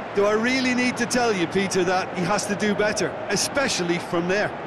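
Over noticeable background noise, a man with a high-pitched voice speaks at a moderate pace with ordinary pitch variation. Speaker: football pundit. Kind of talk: live football commentary, analyst. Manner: knowledgeable, conversational.

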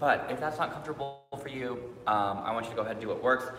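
A man speaks with audible room echo and faint music in the background. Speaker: yoga instructor. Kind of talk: online class instruction. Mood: relaxed, friendly. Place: hall. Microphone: camera far.

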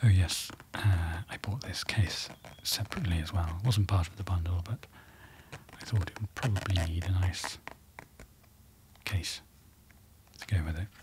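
Over light background noise, a soft-spoken man with a very deep, low pitch talks at a moderate pace with fairly even intonation, long, frequent pauses and big swings in loudness. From United Kingdom. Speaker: ASMR creator. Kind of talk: ASMR unboxing rambling.

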